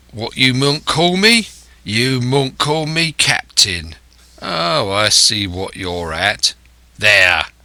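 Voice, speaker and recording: In a put-on character voice, a man speaks at a very slow pace, raspy and at medium pitch, with very wide pitch swings. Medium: read story. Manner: rough, coarse, commanding.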